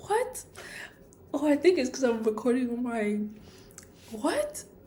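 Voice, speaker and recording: With audible room echo and noticeable background noise, a high-pitched woman speaks with lively intonation. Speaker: vlogger. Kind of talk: casual vlog monologue. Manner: rambling, hesitant with fillers.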